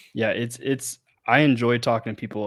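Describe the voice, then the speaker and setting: Monotone, flat intonation at a moderate pace. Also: man. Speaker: podcast host. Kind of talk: casual chat. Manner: halting.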